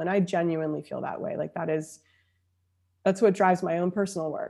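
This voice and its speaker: A woman speaks in a dark, mellow tone. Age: 30s. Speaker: emotional intelligence coach and speaker. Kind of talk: casual interview conversation.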